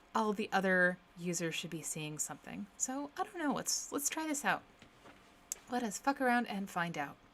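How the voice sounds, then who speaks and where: Soft-spoken, a woman talks at a moderate pace and medium pitch. Her pitch swings very wide. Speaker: programmer live streamer. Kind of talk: live coding stream.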